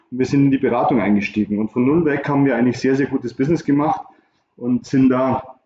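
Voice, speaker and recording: A man with a medium pitch, fairly even intonation and an ordinary speaking voice. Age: 50s. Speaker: recruitment consultant. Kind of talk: interview.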